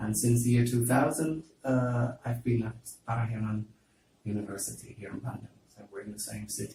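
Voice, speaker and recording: A man's dark, mellow, somewhat breathy voice at a medium pitch and a moderate pace, with big swings in loudness. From Netherlands, Amsterdam. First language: Dutch. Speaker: university lecturer. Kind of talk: interview. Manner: hesitant, many fillers.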